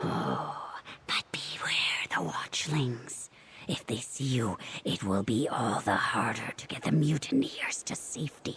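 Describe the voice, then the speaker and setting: Someone whispers in a put-on character voice. The pace is fairly slow. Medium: video game. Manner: clipped, fragmentary phrases, answering itself.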